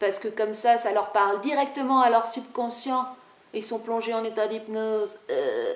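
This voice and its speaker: A woman's fairly high voice, moving at a moderate pace. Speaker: video blogger on spirituality. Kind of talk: casual monologue to camera. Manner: animated.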